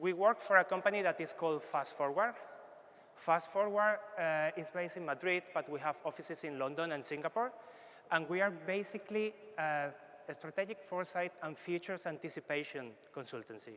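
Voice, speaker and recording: Speaking fairly quickly, a man with a Spanish accent uses a high voice with a bright, sharp tone. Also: ordinary pitch variation. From Spain. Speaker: foresight consultant. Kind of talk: workshop presentation.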